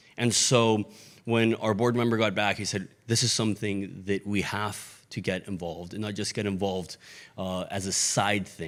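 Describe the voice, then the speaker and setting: With a Mexican accent, a man speaks at a moderate pace in a fairly low pitch and fairly even intonation, on a very clean recording against a silent background. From Mexico. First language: Spanish. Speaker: missions ministry leader, former pastor. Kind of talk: sermon.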